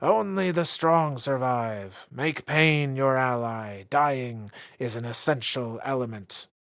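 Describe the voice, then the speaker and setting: Booming put-on character voice from a man at medium pitch and a fairly slow pace, on a very clean recording with a silent background. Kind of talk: announcer commentary. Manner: booming, commanding.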